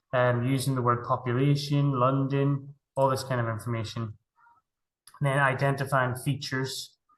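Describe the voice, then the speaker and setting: A man speaks in a somewhat breathy voice at a medium pitch. His intonation stays monotone and flat. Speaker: primary school teacher and curriculum trainer. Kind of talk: webinar presentation. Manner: fast.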